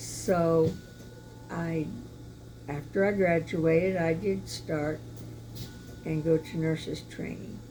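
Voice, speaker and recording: Speech comes at a very slow pace with long, frequent pauses and audible room echo. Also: woman. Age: 80s+. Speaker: churchgoer giving testimony. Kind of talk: testimony. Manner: halting, with fillers.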